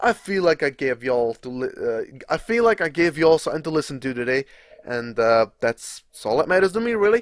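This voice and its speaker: Fairly quick and relaxed in tone, a man speaks with a Czech accent at a fairly high pitch. His pitch swings very widely, and the sound is dry and close with no echo. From Czech Republic. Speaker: gaming YouTuber. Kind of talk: live gameplay commentary. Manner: relaxed, casual.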